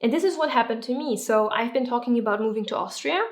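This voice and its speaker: A woman's fairly high voice with lively intonation and a non-native accent. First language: not English. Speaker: YouTuber and entrepreneur. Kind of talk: vlog-style tips talk to camera.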